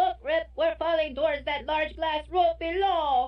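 A put-on character voice pitched high. Its pace is moderate. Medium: audio drama.

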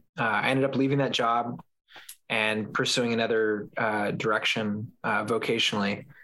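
A bright, sharp voice with an American accent, flat and monotone, at a moderate pace and very even loudness. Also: man, medium pitch for a man. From Southern California. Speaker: podcast host and former evangelical. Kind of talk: casual interview chat. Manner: filler-heavy, hesitant.

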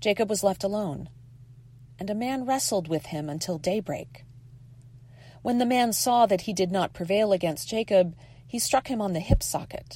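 A woman's dark, mellow tone with lively intonation at a moderate pace. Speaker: lay scripture reader. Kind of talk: reading aloud.

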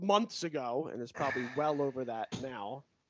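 A man talks at a moderate pace with lively intonation. He has a normal speaking voice. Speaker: podcast host. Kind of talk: casual chat. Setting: video call.

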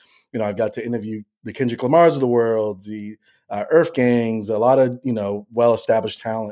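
Recorded very cleanly against a silent background, a man with an American accent and a dark, mellow tone talks at a fairly quick pace, with medium pitch and fairly even intonation. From Boston, Massachusetts. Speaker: influencer marketing director. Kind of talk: interview.

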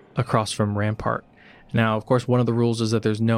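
Throughout the recording comes an unforced reading voice.

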